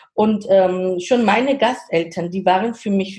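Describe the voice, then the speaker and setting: A woman with a Georgian accent speaks at a medium pitch and a fairly slow pace. Her voice is somewhat breathy, with a dark, mellow tone. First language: Georgian (speaking German). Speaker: startup consultant and guest lecturer. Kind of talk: interview. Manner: halting.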